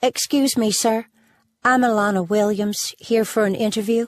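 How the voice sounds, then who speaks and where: A woman's husky, fairly high-pitched put-on character voice at a moderate pace, fairly even intonation and very even loudness, in a very clean recording with a silent background and a dry, close sound with no echo. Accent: Southern US. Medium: read story.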